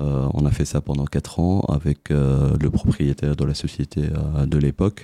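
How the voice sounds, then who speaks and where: Fairly slow, fairly even delivery at very even loudness, with a dry, close sound with no echo and noticeable background noise. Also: man, very deep, low pitch for a man. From Tunisia. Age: 40s. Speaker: telecom company executive. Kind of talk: interview. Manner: hesitant, frequent fillers.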